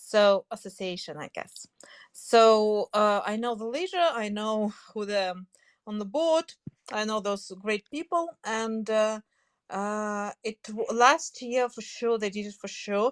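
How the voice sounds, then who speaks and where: A woman with a Russian accent speaks at a very slow pace in a fairly high pitch with ordinary pitch variation, in a dry, close sound with no echo. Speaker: language teacher. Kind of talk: casual interview. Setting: online audio room. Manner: halting, many fillers.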